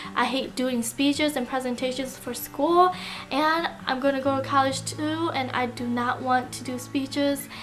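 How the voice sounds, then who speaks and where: A woman talks at a fairly slow pace, and noticeable background noise is heard around her. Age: 20s. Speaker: lifestyle vlogger. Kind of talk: casual chat.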